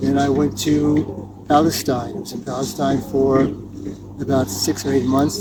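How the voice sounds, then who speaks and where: With a New Jersey accent, a man speaks at medium pitch over noticeable background noise. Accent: American, New Jersey. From US Northeast (New Jersey). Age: 70s. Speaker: tennis coach. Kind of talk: interview.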